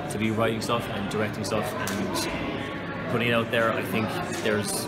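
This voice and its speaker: A man speaks at a moderate pace. Loud music plays in the background. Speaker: interviewee. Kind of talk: interview answer. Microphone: phone near.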